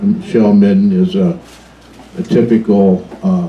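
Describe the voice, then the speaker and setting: With a Pacific Northwest accent and lively intonation, a man talks over noticeable background noise. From US Pacific Northwest, Washington. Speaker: museum docent. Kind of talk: public talk to a live audience. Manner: casual, with fillers.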